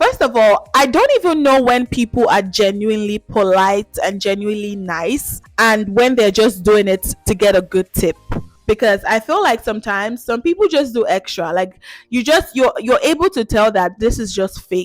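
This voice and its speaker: A woman talks at a moderate pace in a fairly high pitch with lively intonation. The sound is dry and close with no echo, and music plays in the background. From Nigeria. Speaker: YouTube vlogger. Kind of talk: casual talk to camera.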